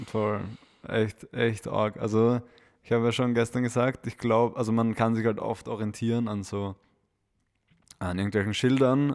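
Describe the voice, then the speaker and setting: A man with a Viennese accent, fairly low pitch and monotone, flat intonation at a moderate pace, in a very clean recording with a silent background. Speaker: podcast co-host. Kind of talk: casual chat.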